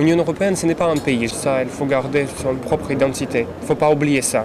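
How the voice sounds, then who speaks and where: A man speaks over noticeable background noise. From Latvia. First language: Russian (speaking French). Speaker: interviewee, graduate. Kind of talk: interview testimony.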